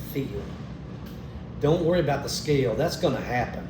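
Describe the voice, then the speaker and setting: A man's fairly high voice at a fairly quick pace with fairly even intonation, plus noticeable background noise and audible room echo. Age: 60s. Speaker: customer testimonial. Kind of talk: testimony. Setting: at a friend's house.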